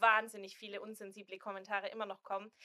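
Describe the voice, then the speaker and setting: Her tone comes across bright and sharp. The woman moves at a fairly quick pace. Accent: Swabian. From Swabia, southern Germany. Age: 20s. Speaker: influencer and student, expectant mother. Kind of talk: casual chat.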